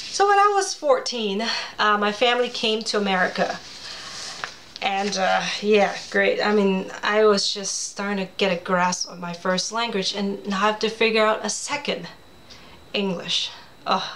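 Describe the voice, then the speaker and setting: A woman speaks at a medium pitch and a moderate pace with fairly even intonation. Noticeable background noise and audible room echo are present. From Hong Kong. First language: Cantonese. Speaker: children's author. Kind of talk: personal storytelling presentation. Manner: casual, chatty.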